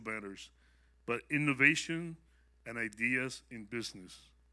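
In a normal speaking voice, a man talks at a moderate pace with ordinary pitch variation. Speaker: prophetic word giver. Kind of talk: prophetic words to audience.

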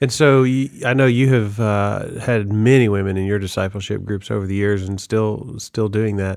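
A man with a plain, everyday voice and a fairly low pitch speaks at a moderate pace with fairly even intonation and hardly any pauses. The recording is very clean, with a silent background. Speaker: podcast host and church staff member. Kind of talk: casual interview.

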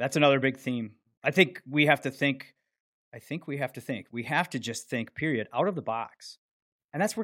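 In a very clean recording with a silent background and a dry, close sound with no echo, a man with an unremarkable speaking voice talks at a fairly quick pace, his pitch fairly high with ordinary variation. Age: 50s. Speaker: podcast host, fire lieutenant. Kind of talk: casual podcast chat; show outro.

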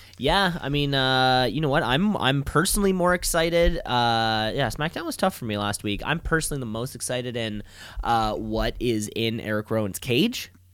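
A man's normal speaking voice at a medium pitch, moderate pace, lively intonation and hardly any pauses. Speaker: wrestling podcast host. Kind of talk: casual chat.

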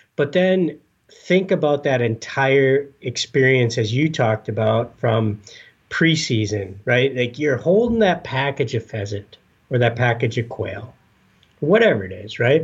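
At a fairly slow pace, a somewhat breathy voice speaks with lively intonation over a quiet background. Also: man, medium pitch for a man. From Upper Peninsula of Michigan. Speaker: conservation organization staffer. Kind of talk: interview.

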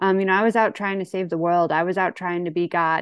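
Speaking with a Midwestern accent, a woman uses a medium pitch. Her intonation is monotone and flat. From St. Louis, Missouri (US Midwest). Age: 40s. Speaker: AA speaker. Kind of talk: recovery testimony. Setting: video call. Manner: halting, many fillers.

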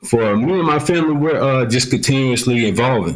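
A man with an American accent, a normal speaking voice, medium pitch and ordinary pitch variation. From US South, Columbus, Georgia. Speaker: retired army sergeant, author and speaker. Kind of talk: interview.

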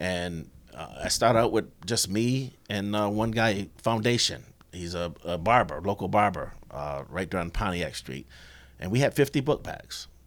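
In an ordinary speaking voice with an American accent, a man talks at a fairly slow pace and fairly low pitch with lively intonation, recorded very cleanly against a silent background. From Rochester, New York. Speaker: auto worker and union volunteer. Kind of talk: casual interview.

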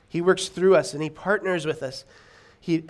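Speaking at a moderate pace, a man uses a fairly high pitch and fairly even intonation. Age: 30s. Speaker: pastor. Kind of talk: sermon. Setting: church. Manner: mumbling; halting.

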